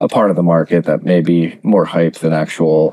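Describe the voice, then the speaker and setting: In a calm, relaxed way, a man speaks at a moderate pace with a dark, mellow tone and a very deep, low pitch. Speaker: bitcoin investor and podcaster. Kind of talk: interview.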